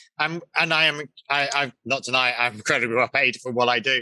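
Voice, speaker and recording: A man speaks with an English accent in a bright, sharp tone. The sound is dry and close, with no echo. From England. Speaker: location manager. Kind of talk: casual interview.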